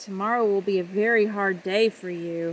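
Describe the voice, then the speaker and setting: In a put-on character voice, a woman speaks at a medium pitch and a moderate pace. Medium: read story.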